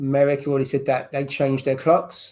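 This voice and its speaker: Delivery moves at a moderate pace. An English accent is heard. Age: 30s. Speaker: livestream host. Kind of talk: casual chat.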